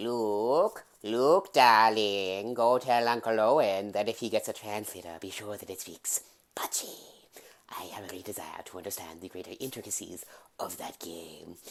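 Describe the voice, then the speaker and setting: A man speaks in a put-on character voice. His pitch sits fairly low, and he talks at a moderate pace. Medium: solo performance.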